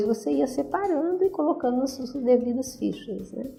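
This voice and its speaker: A woman speaks at a fairly quick pace with lively intonation. Music plays in the background. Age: 60s. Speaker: retired radiology technician. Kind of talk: interview.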